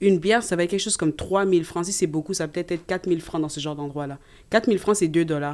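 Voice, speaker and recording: A woman talks at a very fast pace. Her pitch is fairly low, with ordinary variation. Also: very clean recording, silent background. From Canada (Quebec), Congolese parents. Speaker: nursing student. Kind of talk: casual chat.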